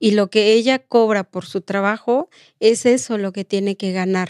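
Speech comes at a fairly slow pace with fairly even intonation. The background is quiet, and the sound is dry with no echo. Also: woman. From Oaxaca, Mexico. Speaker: domestic workers' rights activist; guest. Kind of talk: interview. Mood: earnest, reflective. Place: studio. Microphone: studio mic.

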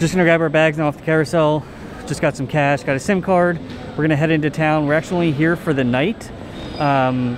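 Music plays in the background of a dry sound with no echo. The pace is fairly quick, and the loudness stays very even. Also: man, fairly even intonation. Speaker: travel vlogger. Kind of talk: casual vlog chat. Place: hall. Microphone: phone near.

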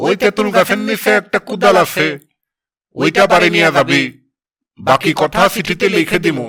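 At a fairly slow pace, a man performs a cartoonish character voice in a high pitch. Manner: blunt, rustic dialect speech.

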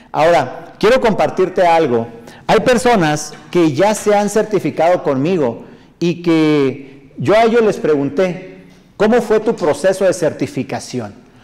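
This man has a high voice for a man, with lively intonation and an animated tone, speaking at a fairly slow pace with very even loudness. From northern Mexico. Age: 40s. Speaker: motivational speaker and sales trainer; motivational speaker, sales trainer. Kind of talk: live stream talk reading viewer comments. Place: studio.

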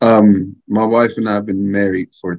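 A man's fairly low voice in an American accent, fairly slow and fairly even in intonation, against a quiet background. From North Texas, Wichita Falls; Texas. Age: 40s. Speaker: father, panelist; panelist. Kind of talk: panel discussion. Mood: reflective, earnest. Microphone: webcam.

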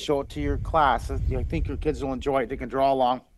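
Light background noise is present. The voice is a man's. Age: 60s. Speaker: artist and children's drawing TV host; children's drawing TV host. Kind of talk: interview. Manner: animated. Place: home room. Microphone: headset.

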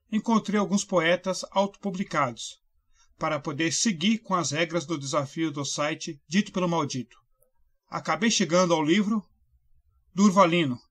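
At a fairly slow pace, a man with a high-pitched voice and ordinary pitch variation speaks in a very clean recording with a silent background. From Brazil, São Paulo state (Mauá). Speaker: book reviewer. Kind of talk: scripted book review.

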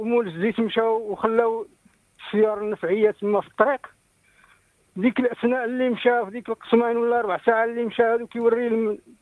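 A man's extremely high-pitched voice in a monotone, flat intonation at a fairly quick pace, dry with no echo against a quiet background. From Morocco. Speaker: caller. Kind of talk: phone-in story. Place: home room.

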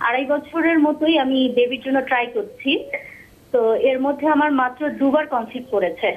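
A woman's high-pitched voice holds a very even loudness with ordinary pitch variation. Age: 30s. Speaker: caller. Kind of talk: call-in question. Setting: phone call.

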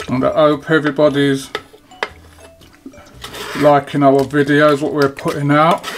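Fairly slow speech over noticeable background noise. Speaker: home cook host. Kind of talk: cooking tutorial. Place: kitchen.

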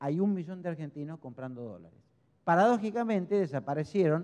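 A dark, mellow voice is heard over a quiet background. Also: man. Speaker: speaker. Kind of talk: lecture. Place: hall. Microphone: handheld.

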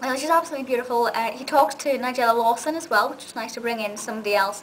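A woman speaks very fast at a high pitch with ordinary pitch variation, light background noise behind her. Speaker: video reviewer. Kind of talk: casual vlog review. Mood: enthusiastic, warm. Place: home room. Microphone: webcam.

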